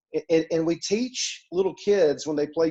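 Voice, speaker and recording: A man speaks at a moderate pace with an Alabama accent. His pitch is fairly high, with ordinary variation. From US South, Mobile, Alabama. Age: 40s. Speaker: author, speaker and coach. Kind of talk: podcast interview. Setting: podcast.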